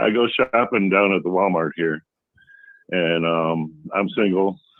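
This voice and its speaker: A man with a very deep, low pitch speaks fairly slowly at a very even loudness, with ordinary pitch variation. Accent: American. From Chicago area, DuPage County. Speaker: caller. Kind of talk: casual chat. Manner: halting.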